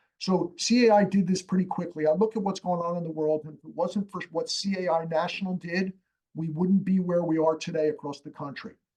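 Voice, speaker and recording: Fairly quick and high-pitched, a man talks with fairly even intonation but big swings in loudness. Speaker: community association reserve and structural integrity expert. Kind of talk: expert interview on a live webinar. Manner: fast.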